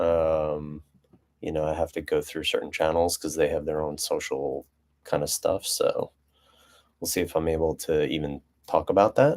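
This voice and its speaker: Soft-spoken, this voice moves along at a moderate pace. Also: man. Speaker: business owner, live streamer. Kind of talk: casual live stream monologue. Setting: live stream. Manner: soft-spoken, low talker; hesitant with many fillers.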